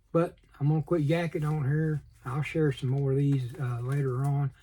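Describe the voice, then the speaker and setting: Mumbling in a Southern US accent, a man with a fairly high pitch and a dark, mellow tone sounds somewhat breathy. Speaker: model car hobbyist YouTuber. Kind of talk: casual vlog. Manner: fast.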